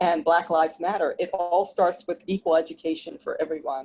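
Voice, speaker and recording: A woman speaks in a dark, mellow tone at a fairly low pitch and a moderate pace. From US Northeast, Philadelphia area. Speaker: event attendee. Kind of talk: group discussion.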